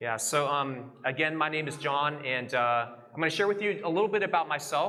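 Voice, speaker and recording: In a Texas accent, a man with a bright, sharp tone speaks at a fairly quick pace and fairly high pitch, with ordinary pitch variation, very even loudness and audible room echo. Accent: American, Texas. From Texas, Houston. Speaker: guest preacher. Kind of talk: sermon with interpreter. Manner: hesitant, many fillers.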